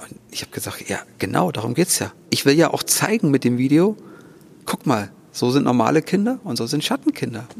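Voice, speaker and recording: This man's pitch sits fairly high, and his intonation is lively. He talks at a moderate pace. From Thuringia, Germany. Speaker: organist and charity founder. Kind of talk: interview. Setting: church.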